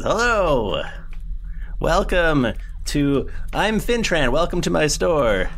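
Putting on a character voice, a man speaks very slowly at a high pitch with long, frequent pauses over clear background noise.

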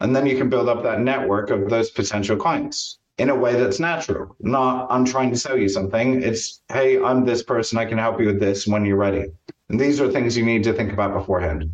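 An unremarkable speaking voice with an American accent, fairly quick in pace, with very even loudness and ordinary pitch variation. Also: man, medium pitch for a man. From US Midwest, Champaign-Urbana, Illinois. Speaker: marketing agency owner and networking coach. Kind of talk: casual interview.

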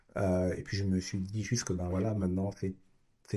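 A man with a fairly low pitch and a dark, mellow tone speaks somewhat breathily in a monotone, flat intonation on a very clean recording with a silent background. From Burkina Faso, partly raised in Japan. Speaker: father. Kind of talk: casual interview.

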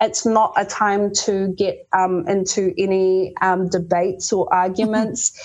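With hardly any pauses, a woman speaks at a medium pitch in a monotone, flat intonation and very even loudness. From New Zealand, Northland (Kaikohe). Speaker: film director. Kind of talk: casual interview.

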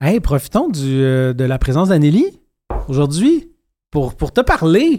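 A man with a Quebec accent speaks at a fairly high pitch and a very slow pace, with lively intonation, a dark, mellow tone, very even loudness and long, frequent pauses. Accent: Québécois French. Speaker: podcast host, sketch comedy writer. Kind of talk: casual chat.

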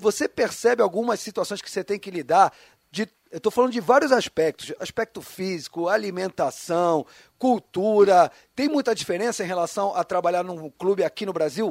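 At a high pitch and moderate pace, a man speaks with ordinary pitch variation and big swings in loudness, the sound dry and close with no echo in a very clean recording with a silent background. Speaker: radio sports host. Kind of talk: radio interview.

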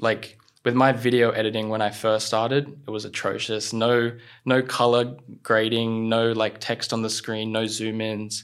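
A man's intonation is monotone and flat. He talks at a moderate pace and a medium pitch. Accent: Australian. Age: 20s. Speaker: content creator. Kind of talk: casual chat.

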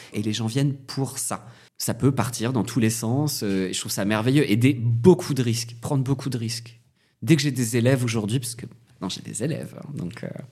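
The man's medium-pitched voice is dark, mellow and somewhat breathy. His pace is moderate and his pitch varies in an ordinary way. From northern France. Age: 30s. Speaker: drag performer and DJ. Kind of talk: casual chat.

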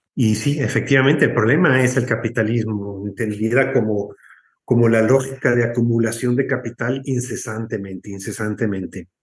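The voice is somewhat breathy, with fairly even intonation. Its loudness stays very even. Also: man, medium pitch for a man, moderate pace. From northern Mexico, moved around Mexico as a child. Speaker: environmental activist. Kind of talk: interview testimony.

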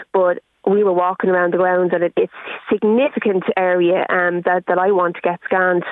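With an Irish accent, a woman speaks at a fairly quick pace. Her intonation stays fairly even. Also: medium pitch for a woman. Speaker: concert organiser and campaigner. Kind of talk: radio phone interview. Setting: phone call.

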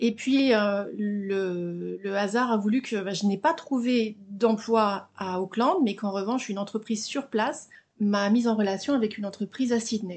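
A woman with a plain, everyday voice talks at a fairly slow pace, with hardly any pauses. Her pitch is fairly high and varies in an ordinary way. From Haute-Savoie, France. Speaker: small business founder. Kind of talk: interview. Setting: home recording, window open.

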